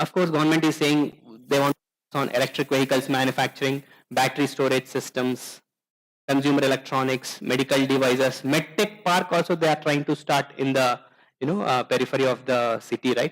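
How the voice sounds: At a fairly quick pace, a man with a medium pitch speaks with fairly even intonation.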